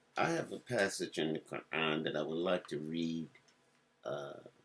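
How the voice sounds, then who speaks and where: A man's very deep, low voice with an American accent, fairly slow pace and ordinary pitch variation. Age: 70s. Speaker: religious speaker. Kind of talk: religious talk.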